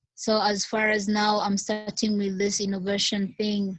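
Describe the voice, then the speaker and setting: Somewhat breathy, a woman with a medium pitch talks at a fairly slow pace with monotone, flat intonation. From Tanzania. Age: young. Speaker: small business founder. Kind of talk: video call discussion. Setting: video call. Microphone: unstable network connection.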